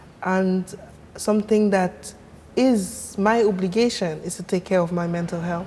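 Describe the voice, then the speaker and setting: Over noticeable background noise, a woman with a French accent speaks fairly slowly at a medium pitch in a monotone, flat delivery. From Cameroon, Yaoundé. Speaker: sound artist. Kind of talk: interview conversation.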